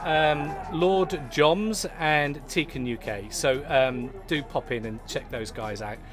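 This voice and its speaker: Background music beneath a man's lively intonation. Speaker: pub live-stream host. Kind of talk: casual chat. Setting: pub. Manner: hesitant, many fillers; loud.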